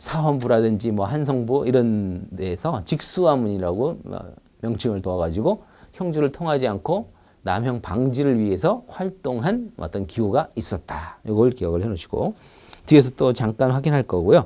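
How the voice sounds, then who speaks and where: A man speaks in a dark, mellow tone. His pitch swings very widely at a moderate pace. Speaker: lecturer. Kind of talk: lecture. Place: studio. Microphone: lapel.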